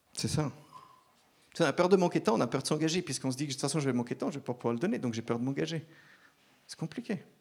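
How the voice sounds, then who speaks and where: At a very fast pace yet with long, frequent pauses, a man with a fairly high pitch speaks with ordinary pitch variation. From Switzerland (German-speaking part, Zurich), French-speaking family. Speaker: preacher. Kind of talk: sermon.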